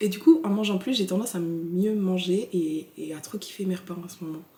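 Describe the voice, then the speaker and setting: Over noticeable background noise, a woman with a medium-pitched voice talks at a fairly quick pace. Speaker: fitness coach and vlogger. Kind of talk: casual vlog chat. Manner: animated, informal.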